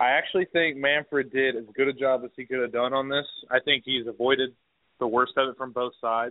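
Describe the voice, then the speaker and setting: A man has an ordinary speaking voice with a medium pitch. His pace is fairly quick and his intonation fairly even. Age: 20s. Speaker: sports podcast co-host. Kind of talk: casual chat.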